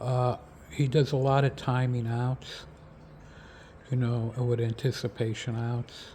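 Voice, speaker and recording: A man of medium pitch speaks at a fairly slow pace with long, frequent pauses. His dark, mellow tone is somewhat breathy, and his intonation stays fairly even. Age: 60s. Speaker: football draft analyst. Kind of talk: casual video commentary. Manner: halting, many fillers and repeats.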